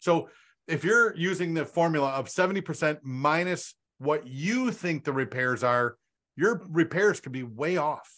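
Here a man speaks with lively intonation at a fairly high pitch. The background is quiet. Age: 50s. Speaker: real estate wholesaling coach. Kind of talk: casual group call. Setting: video call. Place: home room. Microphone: studio mic.

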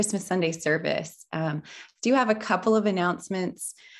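Ordinary pitch variation from a woman, set against a quiet background. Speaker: pastor. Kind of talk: church announcements, casual welcome. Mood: warm, lightly amused. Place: home room. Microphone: webcam.

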